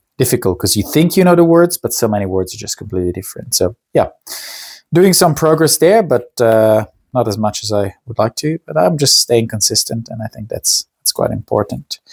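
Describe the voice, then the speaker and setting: Heard in a dry, close recording with no echo, a man speaks at a moderate pace in a somewhat breathy voice with very wide pitch swings. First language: Italian. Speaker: lifestyle vlogger. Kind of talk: casual vlog monologue. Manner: halting, many fillers.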